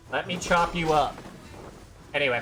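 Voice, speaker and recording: Fairly quick speech from a man, with music in the background. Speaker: gaming streamer. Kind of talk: live gameplay stream chat.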